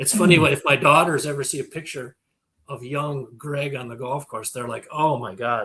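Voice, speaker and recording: A man speaks at a moderate pace in a fairly high pitch with ordinary pitch variation. His tone is bright and sharp, with big swings in loudness. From Minnesota. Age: 60s. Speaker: farm equipment market data expert. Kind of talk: casual interview chat.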